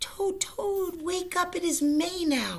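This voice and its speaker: A put-on character voice, squeaky and extremely high in pitch. It talks at a very slow pace. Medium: read story. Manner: eager, upbeat.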